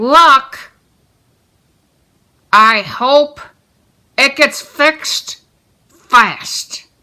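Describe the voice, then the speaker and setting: A cartoonish character voice moves at a very slow pace. Long, frequent pauses break up the speech. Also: woman, high pitch for a woman. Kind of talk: puppet show voice. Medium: puppet show. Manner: eager, impulsive.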